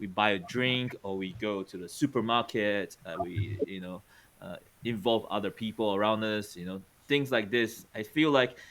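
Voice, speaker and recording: This man has an unremarkable speaking voice, pitched fairly low and delivered at a moderate pace. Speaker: podcast host and teacher. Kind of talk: casual chat.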